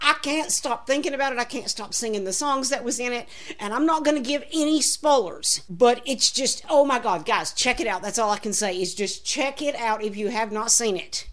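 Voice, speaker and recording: A woman talks in an animated tone with a high pitch and lively intonation. She hardly pauses at all. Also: moderate pace. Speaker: podcaster. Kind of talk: casual monologue review.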